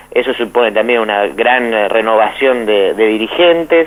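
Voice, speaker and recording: The speaker is a man. His pace is moderate. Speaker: philosophy professor and author. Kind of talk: radio interview. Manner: halting, many repetitions.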